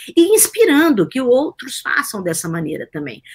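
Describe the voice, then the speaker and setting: With a somewhat breathy voice, a woman speaks at a moderate pace. Her pitch swings very widely. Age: 50s. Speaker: science journalist and behavioral scientist. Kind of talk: interview.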